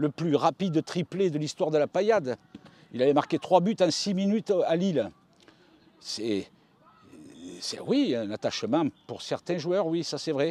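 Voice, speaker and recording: A man with a dark, mellow tone and a fairly high pitch talks with long, frequent pauses. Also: dry, close sound with no echo. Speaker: football radio commentator. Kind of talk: interview.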